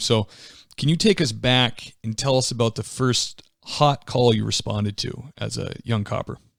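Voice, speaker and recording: With a slight Boston accent, a man speaks at a medium pitch with ordinary pitch variation. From near Boston. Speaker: podcast host. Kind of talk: interview.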